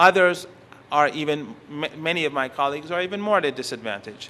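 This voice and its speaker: A man's fairly high, bright, sharp voice, fairly quick in pace and lively in intonation. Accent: Persian. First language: Persian. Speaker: professor. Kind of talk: conference lecture. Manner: halting, with frequent self-corrections.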